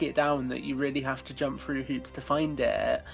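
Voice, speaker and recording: Noticeable background noise runs under the speech. A man with a British accent talks at a moderate pace. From UK. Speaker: podcast host. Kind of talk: casual chat.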